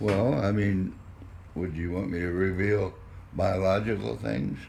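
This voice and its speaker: A man with a very deep, low pitch speaks at a fairly slow pace, somewhat breathy and with ordinary pitch variation. Audible room echo surrounds his voice. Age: 80s+. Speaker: elderly interviewee. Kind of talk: interview.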